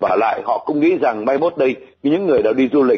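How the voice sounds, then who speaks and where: A man at a very fast pace. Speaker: refugee resettlement expert. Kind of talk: interview. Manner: formal.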